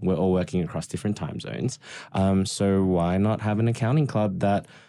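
A man with an Australian accent speaks at a fairly quick pace in a very deep, low pitch with a dark, mellow tone. His pitch variation is ordinary, and the recording is very clean with a silent background. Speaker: podcast co-host, accountant, mentor. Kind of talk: casual chat, podcast. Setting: studio.

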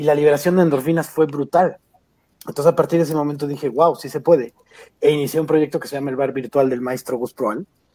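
A man with a Mexican accent talks at a very fast pace, his fairly high voice dark and mellow in tone. The sound is dry and close with no echo, and his loudness swings widely. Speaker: stand-up comedian. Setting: video call. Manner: animated, jokey, playful.

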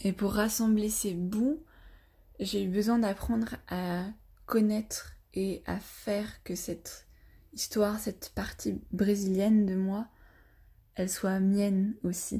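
In a very clean recording with a silent background, a woman with a somewhat breathy, dark, mellow tone speaks very slowly at a medium pitch, her intonation fairly even and her pauses long and frequent. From France, with childhood stays in Brazil. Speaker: podcast guest sharing personal story. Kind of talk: personal testimony.

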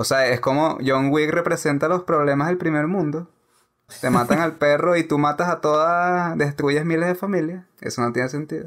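Fairly high in pitch, a man with an unremarkable speaking voice keeps a very even loudness and fairly even intonation. The recording is very clean with a silent background. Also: moderate pace. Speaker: film podcast co-host. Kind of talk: casual chat. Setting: recording from home during quarantine.

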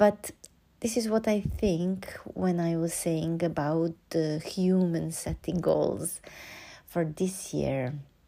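Calm and dark, a woman speaks in a mellow tone at a fairly low pitch with an ordinary amount of pitch variation. Her pace is very slow, in a Serbian accent. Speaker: podcast host and oboist. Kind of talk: reflective solo monologue. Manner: calm, hesitant with fillers.

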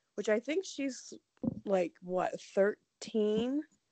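The speaker has an American accent. The intonation is lively. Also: woman, dry, close sound with no echo. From Ohio. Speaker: true crime podcast co-host. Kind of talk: casual chat.

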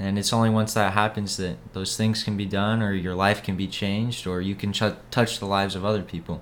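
With an American accent, a man speaks at a fairly quick pace with fairly even intonation. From Idaho, Boise. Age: young. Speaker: missionary. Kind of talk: casual interview about faith.

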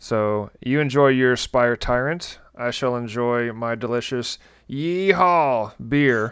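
A man's medium-pitched voice in a Southern US accent at a very slow pace. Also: ordinary pitch variation. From Tennessee. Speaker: podcast host. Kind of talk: casual chat.

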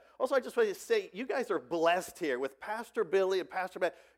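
This man speaks with an American accent at a very fast pace. His intonation is lively, with hardly any pauses. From Ohio, US Midwest. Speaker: pastor. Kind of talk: sermon. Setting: church.

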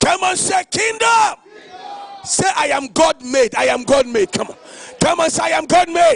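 Shouting at a moderate pace, a man with an extremely high pitch uses lively intonation and an animated tone, recorded with a dry, close sound and no echo while a crowd makes noise behind him. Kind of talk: sermon. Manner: animated, loud, call-and-response: commanding the crowd to shout and say 'kingdom'.

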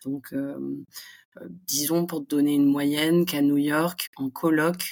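A very slow pace with fairly even intonation. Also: woman. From southern France (Montpellier). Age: 20s. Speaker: expat business school graduate. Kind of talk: casual interview.

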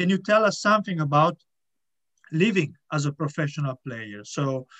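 With an Italian accent, a man speaks at a moderate pace in a fairly high pitch, the sound dry and close with no echo. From Italy. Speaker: podcast host. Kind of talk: interview.

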